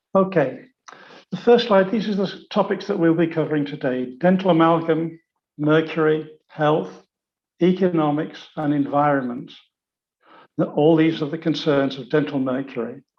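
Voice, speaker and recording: With audible room echo, a man speaks at a moderate pace and fairly high pitch, using ordinary pitch variation and long, frequent pauses. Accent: British. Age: 70s. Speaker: dentist. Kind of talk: lecture.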